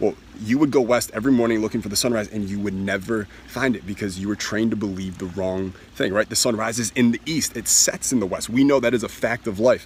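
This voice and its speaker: Over noticeable background noise, a man with a fairly low pitch talks very fast in an animated tone, with ordinary pitch variation. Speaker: self-help speaker. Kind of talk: motivational talk.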